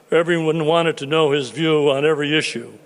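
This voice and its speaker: A fairly high-pitched man talks at a fairly quick pace in a monotone, flat delivery. Noticeable background noise runs underneath. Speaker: lawyer. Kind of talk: eulogy. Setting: funeral service in synagogue.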